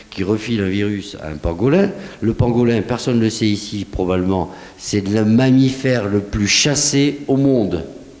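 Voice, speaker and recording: With a southwestern French accent, a man talks at a fairly slow pace in a medium pitch, amid noticeable background noise and audible room echo. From southwest France. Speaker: scientist, researcher. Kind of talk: conference talk, Q&A answer. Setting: conference hall with audience. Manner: animated, conversational.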